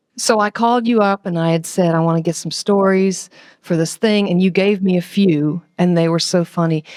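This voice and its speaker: Her voice is medium in pitch, and this woman keeps her intonation fairly even. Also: moderate pace. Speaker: musician and interviewer. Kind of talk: casual interview chat. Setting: remote call from home. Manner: loud.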